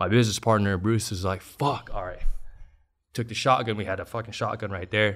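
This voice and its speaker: Spoken with an American accent, the voice comes through on a very clean recording with a silent background. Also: man. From Long Beach, Southern California. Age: 30s. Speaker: entrepreneur. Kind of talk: casual interview.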